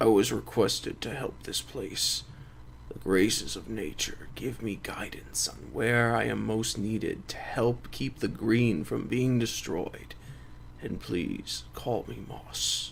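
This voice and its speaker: Someone uses a put-on character voice at a fairly slow pace, with clear background noise behind it. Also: man, fairly low pitch for a man. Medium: read story. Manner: calm, gentle.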